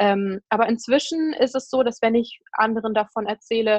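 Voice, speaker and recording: It is an ordinary speaking voice. The intonation is fairly even. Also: woman. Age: 20s. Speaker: blogger and author on eating disorders. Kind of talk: interview.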